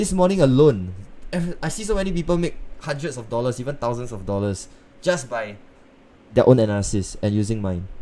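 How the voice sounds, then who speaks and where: Amid audible room echo, a man with a dark, mellow tone speaks at a fairly quick pace in a medium pitch, with very wide pitch swings and long, frequent pauses. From northeast China. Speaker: forex trading streamer. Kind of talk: live trading stream. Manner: casual, conversational.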